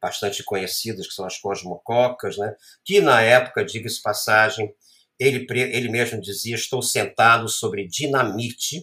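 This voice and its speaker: This man has a medium pitch, ordinary pitch variation and a bright, sharp tone, and he speaks at a moderate pace. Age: 60s. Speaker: photographer and art professor. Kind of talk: interview storytelling.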